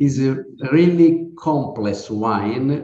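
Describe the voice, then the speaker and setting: This man has an Italian accent and a fairly high pitch, with a dark, mellow tone. He talks at a very slow pace with audible room echo. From Sardinia, Italy. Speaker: winemaker. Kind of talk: interview. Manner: halting.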